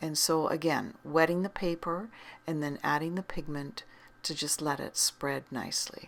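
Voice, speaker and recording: A woman with a very deep, low pitch, ordinary pitch variation and moderate pace. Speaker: art teacher. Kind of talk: tutorial. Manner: calm, relaxed.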